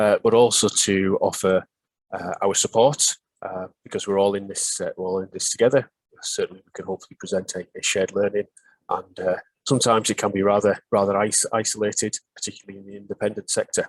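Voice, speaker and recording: Very fast man in a Northeast English accent, dry, close sound with no echo. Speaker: pharmacy superintendent presenting a webinar. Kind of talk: webinar presentation. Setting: online webinar. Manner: halting, many filler sounds.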